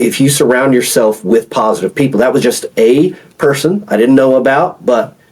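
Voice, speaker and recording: The speaker has an American accent, lively intonation and a moderate pace. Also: man. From Oklahoma (rural backwoods). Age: 40s. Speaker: former naval officer and retired FBI agent. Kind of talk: podcast interview. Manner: casual, halting with repetitions.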